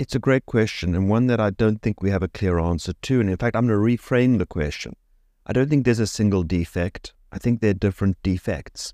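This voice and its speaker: With a South African accent, a man talks at a fairly quick pace in a fairly low, dark, mellow voice, with ordinary pitch variation and very even loudness, recorded dry and close with no echo on a very clean, silent background. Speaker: neurology professor and ALS researcher. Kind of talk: interview. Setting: studio.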